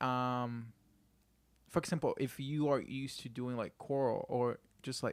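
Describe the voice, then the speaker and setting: In a very clean recording with a silent background, a man with a Spanish accent speaks at a medium pitch and fairly slow pace, his monotone, flat intonation broken by long, frequent pauses. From Puerto Rico. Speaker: podcast producer. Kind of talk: casual chat.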